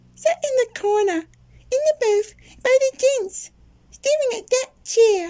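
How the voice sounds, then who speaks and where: Doing a put-on character voice, a man talks at a fairly slow pace in an extremely high pitch. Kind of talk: comedy audio drama, one performer voicing all parts.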